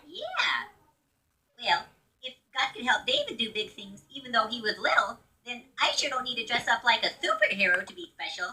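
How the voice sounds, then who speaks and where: A woman puts on a cartoonish character voice, high-pitched, at a moderate pace. Her loudness swings widely, and she leaves long, frequent pauses. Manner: goofy, enthusiastic.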